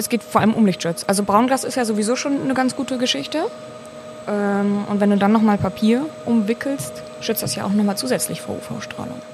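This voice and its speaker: Over noticeable background noise, a woman with a medium pitch talks at a fairly quick pace, her pitch swinging very widely. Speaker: master brewer. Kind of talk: casual chat. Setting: brewhouse.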